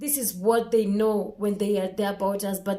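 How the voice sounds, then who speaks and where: A woman speaks with a Kenyan accent. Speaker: vlogger. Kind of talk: casual vlog monologue.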